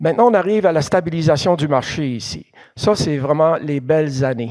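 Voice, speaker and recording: A fairly high-pitched man keeps his speech at a moderate pace. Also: ordinary pitch variation. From Quebec, Thetford Mines area. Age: 60s. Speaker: museum president, geologist giving a lecture. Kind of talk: lecture. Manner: halting, many hesitations.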